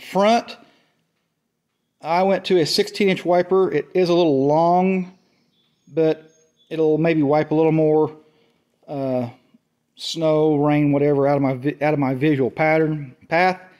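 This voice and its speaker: Over a quiet background, a man with a dark, mellow tone speaks at a fairly slow pace, taking long, frequent pauses, with ordinary pitch variation. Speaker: tractor owner. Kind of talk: casual product show-and-tell. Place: workshop. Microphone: phone near.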